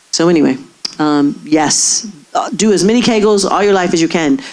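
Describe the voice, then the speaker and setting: Noticeable background noise accompanies a woman talking at a medium pitch with ordinary pitch variation. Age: 60s. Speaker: gynecologist. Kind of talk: audience Q&A.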